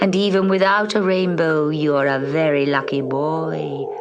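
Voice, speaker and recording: A woman uses a put-on character voice at a fairly slow pace against loud background noise. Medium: read story.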